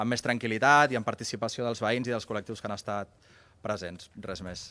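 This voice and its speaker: A man speaks at medium pitch. His is a normal speaking voice. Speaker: housing activist. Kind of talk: press conference. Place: street. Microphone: podium.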